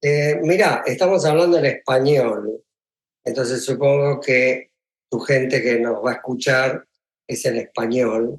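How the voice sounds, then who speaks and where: A fairly slow pace with ordinary pitch variation. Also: man, medium pitch for a man. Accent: Argentine. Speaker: film composer. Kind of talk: interview.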